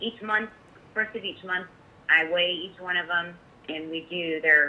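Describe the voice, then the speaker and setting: The woman's speech has ordinary pitch variation and a moderate pace. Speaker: kennel manager. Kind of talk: casual interview chat. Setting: phone call.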